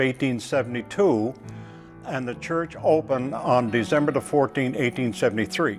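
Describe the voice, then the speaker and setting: Music plays in the background. The speaker talks at a moderate pace with ordinary pitch variation. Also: man. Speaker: church historian. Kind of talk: documentary interview storytelling.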